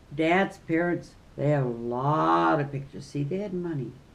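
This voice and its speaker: Her voice is very deep and low in pitch, with lively intonation and an American accent. The woman is heard with audible room echo. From US Midwest. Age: 80s+. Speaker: retired teacher. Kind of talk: casual chat.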